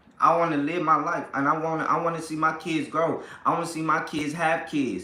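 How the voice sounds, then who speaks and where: This man talks at a fairly quick pace in a high pitch, sounding animated. Noticeable background noise and audible room echo come through. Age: 30s. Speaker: family vlogger / livestream host. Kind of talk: casual livestream chat. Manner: animated, repetitive.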